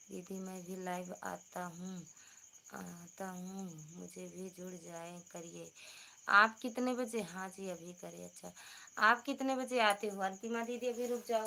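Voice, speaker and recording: A soft-spoken woman at medium pitch has a bright, sharp tone, ordinary pitch variation, and big swings in loudness. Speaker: livestreamer, folk singer. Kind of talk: casual live stream chat. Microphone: too quiet.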